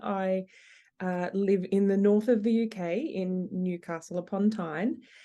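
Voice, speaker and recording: In an Australian accent, a woman talks at a fairly slow pace with a medium pitch, ordinary pitch variation and a dark, mellow tone. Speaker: operational efficiency consultant. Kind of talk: podcast interview.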